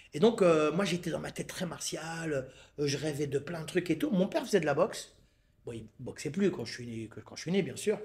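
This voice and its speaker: A man speaks at a fairly quick pace with lively intonation. Noticeable background noise runs under his voice. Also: fairly high pitch for a man. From Paris suburbs, France (La Courneuve, Seine-Saint-Denis). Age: 60s. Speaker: Muay Thai coach. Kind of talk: casual interview. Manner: animated, repeats words when starting.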